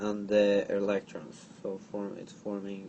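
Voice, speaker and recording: A man with a strong non-native accent speaks at a fairly slow pace. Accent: thick foreign. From outside the US. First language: not English. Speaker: chemistry tutor. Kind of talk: tutorial. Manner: halting.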